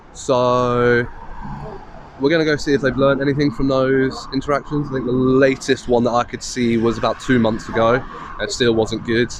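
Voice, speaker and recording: Monotone, flat delivery at a moderate pace with noticeable background noise. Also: man, medium pitch for a man. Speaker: auditor filming police. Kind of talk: vlog narration to camera. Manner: loud.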